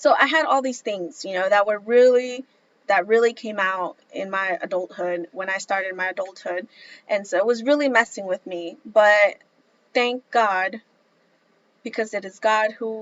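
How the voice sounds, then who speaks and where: A woman speaks in an unremarkable speaking voice at a medium pitch. Her pace is moderate, her pitch variation ordinary, and her loudness swings widely. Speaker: vlogger. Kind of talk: personal testimony vlog.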